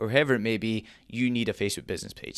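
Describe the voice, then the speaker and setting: Talking at a very fast pace, a man with a Scottish accent speaks at a medium pitch on a very clean recording with a silent background. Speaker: online marketing coach. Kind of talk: tutorial. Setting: dark back room at home.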